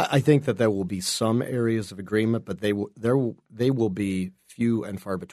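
A man talks in an ordinary speaking voice at a medium pitch with ordinary pitch variation. He keeps a moderate pace with hardly any pauses. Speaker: political consultant panelist. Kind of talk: news panel discussion.

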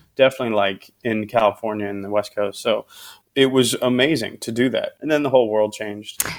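Fairly quick and fairly even in intonation, a man speaks in a plain, everyday voice at a medium pitch. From US Midwest, Cincinnati, Ohio. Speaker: comedian and show producer. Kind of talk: interview.

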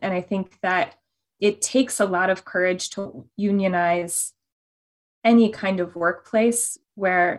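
A woman talks at a medium pitch. It is an unremarkable speaking voice. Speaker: author and labor organizer.

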